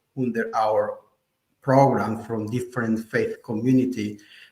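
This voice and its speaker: A man talks with a Spanish accent. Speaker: artist and faith-based HIV program director. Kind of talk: panel discussion. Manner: halting.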